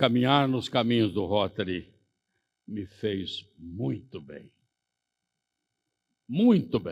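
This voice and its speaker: Against a quiet background, the speech moves at a very slow pace with long, frequent pauses, big swings in loudness and lively intonation. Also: man, fairly low pitch for a man. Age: 80s+. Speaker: Rotary member, conference speaker. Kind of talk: conference speech.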